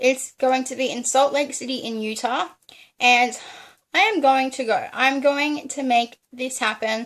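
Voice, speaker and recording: An enthusiastic woman with an Australian accent, high pitch, ordinary pitch variation and a moderate pace, on a very clean recording with a silent background. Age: 20s. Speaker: genealogist. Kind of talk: casual talk to camera.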